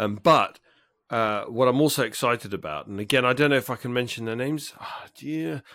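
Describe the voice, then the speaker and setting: A man with an English accent talks at a fairly quick pace with lively intonation and big swings in loudness. The recording is very clean, with a silent background. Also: medium pitch for a man. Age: 40s. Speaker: podcast co-host. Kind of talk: casual chat. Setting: call.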